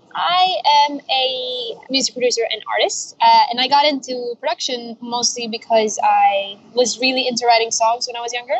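Over noticeable background noise, a woman speaks at a high pitch with lively intonation, a moderate pace and hardly any pauses. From Spain. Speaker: music producer and artist. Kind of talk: casual chat. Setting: outdoors.

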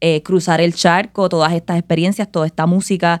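In a very clean recording with a silent background, a woman speaks at a fairly quick pace in a fairly low, monotone voice with flat intonation. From Puerto Rico, Caguas. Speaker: musician, cuatro player. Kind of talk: interview conversation.

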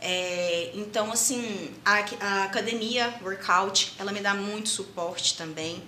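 Speaking at a very slow pace with hardly any pauses, a woman has a medium pitch and fairly even intonation. Noticeable background noise and audible room echo accompany her. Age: 20s. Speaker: jiu-jitsu athlete and psychologist. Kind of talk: podcast interview.

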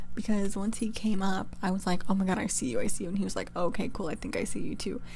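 Quiet and very fast, a woman with an American accent speaks at a medium pitch with ordinary pitch variation, vocal fry and a dark, mellow tone, while audible room echo fills the space. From California. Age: 20s. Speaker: college student podcaster. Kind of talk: casual solo podcast. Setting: dorm room. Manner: trying to be quiet.

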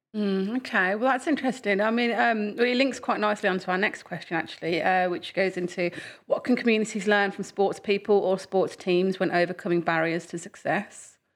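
A woman talks at a fairly quick pace with hardly any pauses, her medium pitch showing ordinary variation. It is a normal speaking voice in a very clean recording with a silent background. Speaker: podcast host. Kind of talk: interview. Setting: studio.

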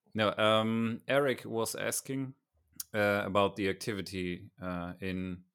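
The voice belongs to a man and sits fairly low. He talks with a German accent. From Germany. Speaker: podcast co-host. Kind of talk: casual chat. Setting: video call.

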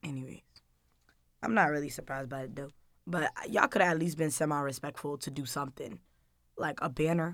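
This woman has a very deep, low pitch and an American accent, with ordinary pitch variation and long, frequent pauses. The recording is very clean over a silent background. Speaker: college student. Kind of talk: casual chat.

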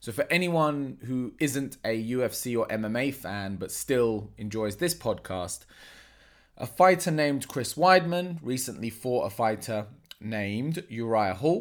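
In a plain, everyday voice, a man talks at a fairly slow pace with a medium pitch and lively intonation, captured in a very clean recording with a silent background. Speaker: martial arts coach and podcast host. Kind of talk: solo podcast monologue.

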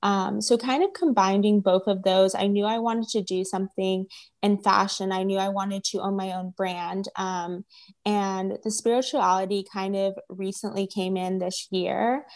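A woman with an American accent speaks at medium pitch and a moderate pace. Her intonation is monotone and flat, on a very clean recording with a silent background. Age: 20s. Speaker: tarot reader and writer. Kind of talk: interview conversation. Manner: hesitant, many fillers.

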